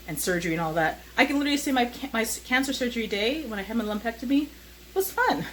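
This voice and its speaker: Lively intonation from a woman at a fairly quick pace, over noticeable background noise. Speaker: vlogger. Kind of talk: casual vlog monologue. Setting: at home, handheld camera while cooking. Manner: hesitant, many fillers.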